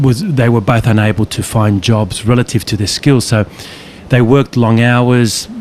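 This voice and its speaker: This man speaks at a medium pitch. Noticeable background noise runs under his voice. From western Sydney, Australia. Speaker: psychologist and author. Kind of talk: casual conversation. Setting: outdoors, walking on a beach.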